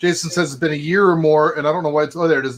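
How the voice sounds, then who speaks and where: The speaker is a man. His pitch sits fairly high. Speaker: cigar channel host. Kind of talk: casual live stream chat. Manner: animated.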